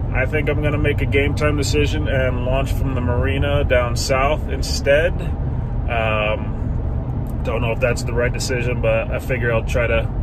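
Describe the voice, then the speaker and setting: Speech comes at a fairly slow pace, the sound dry with no echo, over loud background noise. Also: man. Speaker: kayak angler vlogger. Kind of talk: casual vlog chat. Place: car. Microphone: phone near.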